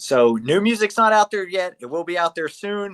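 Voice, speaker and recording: A man with a Southern US accent at a moderate pace, in a dry, close sound with no echo. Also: quiet background. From Charleston, South Carolina. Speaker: band guitarist. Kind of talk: casual interview chat.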